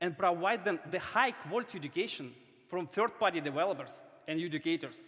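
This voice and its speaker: A man with a non-native accent speaks at a fairly quick pace. His voice is high, with ordinary pitch variation. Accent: foreign. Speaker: startup founder. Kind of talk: startup pitch.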